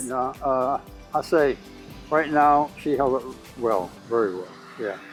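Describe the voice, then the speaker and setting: Music plays in the background as a man speaks at a very slow pace and a medium pitch. His pitch varies in an ordinary way, while his loudness swings widely. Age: 80s+. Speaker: retired homeowner, military veteran. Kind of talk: interview answer.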